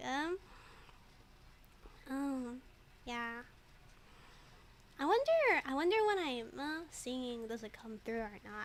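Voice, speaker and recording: Over noticeable background noise, a woman with a slight East Asian accent speaks in a high pitch. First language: Mandarin. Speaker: streamer and digital artist. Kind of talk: casual livestream chat while drawing. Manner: halting, many fillers and repeats.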